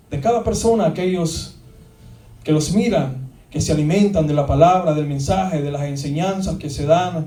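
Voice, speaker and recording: A man speaks at a fairly high pitch. Noticeable background noise and audible room echo surround his voice. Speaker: pastor. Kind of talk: sermon. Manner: halting.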